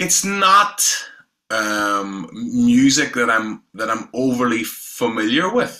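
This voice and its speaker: A man with a Northern Irish accent talks at a very slow pace. His medium pitch moves in very wide swings. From Northern Ireland, south County Down. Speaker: independent musician. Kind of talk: casual interview chat.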